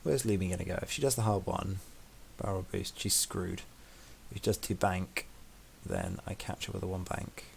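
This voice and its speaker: Speaking with a British accent, a man with a very deep, low voice talks at a fairly quick pace, somewhat breathy, with ordinary pitch variation and long, frequent pauses. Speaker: gaming streamer. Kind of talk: live gameplay commentary. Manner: quiet.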